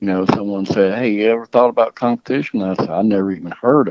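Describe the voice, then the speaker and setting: Here a man speaks with a Mississippi accent. His pitch is fairly low. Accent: Southern US (Mississippi). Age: 60s. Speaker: dog trainer and hunter. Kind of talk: podcast interview. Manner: casual, hesitant with repeated words.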